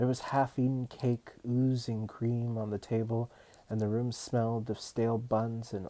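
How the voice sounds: Just a natural reading voice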